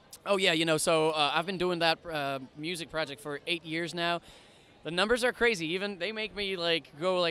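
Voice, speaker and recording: The voice is bright and sharp, keeping fairly even intonation at a fairly quick pace. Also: man. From French-speaking Switzerland, Lausanne. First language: French. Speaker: singer. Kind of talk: red carpet interview. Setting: outdoors red carpet event.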